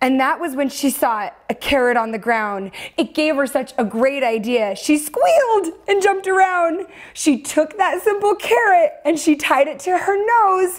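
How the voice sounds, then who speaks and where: A woman talks at a fairly slow pace with a high pitch and very wide pitch swings. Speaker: children's story host. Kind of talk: storytime reading to kids. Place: studio.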